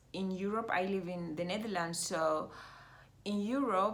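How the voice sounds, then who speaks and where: A woman with an East African accent and ordinary pitch variation, in audible room echo. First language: Swahili. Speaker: mindfulness coach. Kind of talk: vlog monologue. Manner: halting, many fillers.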